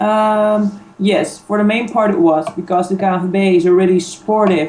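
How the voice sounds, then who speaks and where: This woman has a medium pitch and speaks with a Dutch accent. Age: 30s. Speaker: sports league manager. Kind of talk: interview. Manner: hesitant, many fillers.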